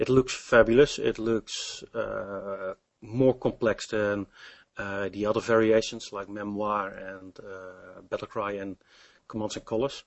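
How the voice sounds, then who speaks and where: With a Dutch accent, a man speaks at a fairly slow pace. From Netherlands. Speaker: game demonstrator and programmer. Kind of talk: interview. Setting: Skype call. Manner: halting.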